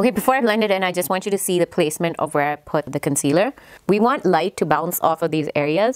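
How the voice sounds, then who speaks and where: This is an unremarkable speaking voice with lively intonation. The sound is dry, with no echo. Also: woman. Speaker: beauty vlogger. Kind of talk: makeup tutorial chat. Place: home room. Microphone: phone near.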